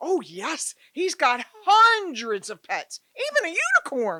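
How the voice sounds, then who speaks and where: A female-sounding, put-on character voice reaches an extremely high pitch. It moves at a fairly slow pace. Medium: audio drama.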